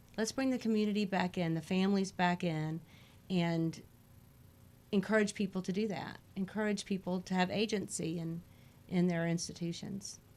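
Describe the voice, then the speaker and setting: A woman with an American accent has a normal speaking voice at medium pitch. She talks at a moderate pace with fairly even intonation. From Houston, Texas. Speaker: political candidate. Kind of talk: interview.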